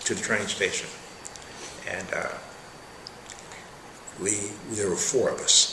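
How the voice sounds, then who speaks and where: A man with an American accent at a fairly slow pace, long, frequent pauses, noticeable background noise. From Wheeling, West Virginia. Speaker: retired union leader and Army veteran. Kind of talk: oral history interview answer.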